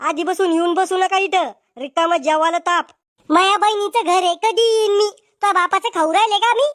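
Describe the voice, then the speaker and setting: A woman uses a cartoonish character voice at an extremely high pitch. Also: moderate pace. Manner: loud, rude, quick-tempered.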